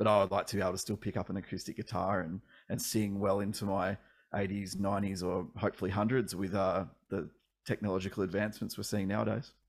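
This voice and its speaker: Very fast and flat in intonation, a man speaks with an Australian accent and a fairly low pitch. The recording is very clean, with a silent background. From Australia, regional Victoria (Ballarat). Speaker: singer-songwriter. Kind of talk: casual interview.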